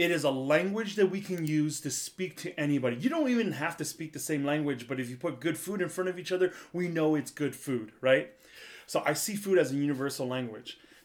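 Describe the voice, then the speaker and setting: Using an ordinary speaking voice, a man with an American accent talks at a fairly quick pace and fairly high pitch with ordinary pitch variation. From US Midwest, central Wisconsin. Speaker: chef. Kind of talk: casual chat. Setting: video call.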